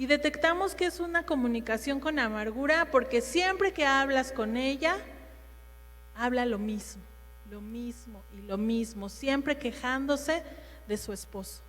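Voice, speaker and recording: The voice is loud, with lively intonation. It moves at a fairly slow pace. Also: woman, high pitch for a woman. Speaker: women's ministry speaker. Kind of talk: sermon.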